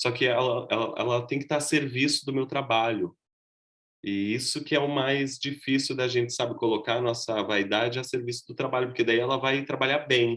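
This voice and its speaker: A man's medium-pitched voice at a moderate pace, with fairly even intonation and very even loudness. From southern Brazil, Rio Grande do Sul (Gravataí). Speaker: costume designer and actor teaching a workshop. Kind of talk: online workshop lecture.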